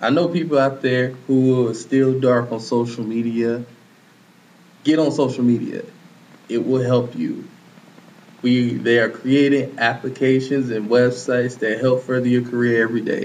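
This man's voice has a medium pitch and fairly even intonation. He keeps a moderate pace, and the room echo is audible. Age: 20s. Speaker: podcast host. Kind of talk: casual panel debate.

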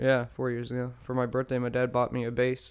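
Medium in pitch, a man's voice moves at a moderate tempo. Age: 20s. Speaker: musician podcaster. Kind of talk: casual monologue. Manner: hesitant, many fillers.

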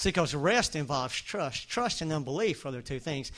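A man is speaking. He has a Southern US accent. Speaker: preacher. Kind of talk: sermon. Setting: church. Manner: animated, preacher-style, exhorting the congregation.

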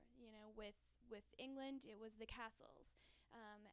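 A woman with an American accent, fairly high in pitch, at a fairly slow pace. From New York. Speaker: travel writer. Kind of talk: radio interview.

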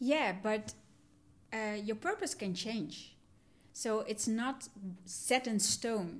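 Delivery is very slow, with long, frequent pauses. The intonation is lively. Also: woman, fairly high pitch for a woman. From Netherlands, south Limburg (adopted from Sri Lanka at three). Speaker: psychologist and coach. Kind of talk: interview.

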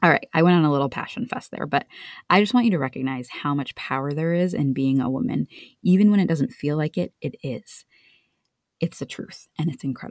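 Animated in tone, a woman with a very deep, low pitch talks at a fairly quick pace with lively intonation, recorded with a dry, close sound and no echo. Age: 30s. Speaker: marriage life coach. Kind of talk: casual solo podcast talk.

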